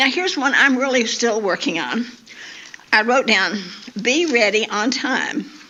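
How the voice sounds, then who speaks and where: Amid noticeable background noise, a woman with a high pitch speaks at a moderate pace. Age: 80s+. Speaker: women's day speaker. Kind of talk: talk to church women's gathering. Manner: halting, repeats words.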